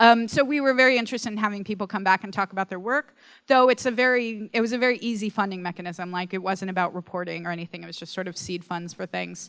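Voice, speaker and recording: A woman talks at a very fast pace, her loudness swinging widely. The sound is dry and close with no echo, on a very clean recording with a silent background. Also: medium pitch for a woman, ordinary pitch variation. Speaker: arts nonprofit director, panelist. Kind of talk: conference panel talk with slides. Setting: conference stage with audience. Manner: hesitant, many fillers.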